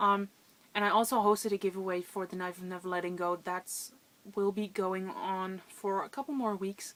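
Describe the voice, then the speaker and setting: At a moderate pace, a woman speaks in a plain, everyday voice with fairly even intonation. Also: medium pitch for a woman. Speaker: book vlogger. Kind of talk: casual vlog monologue.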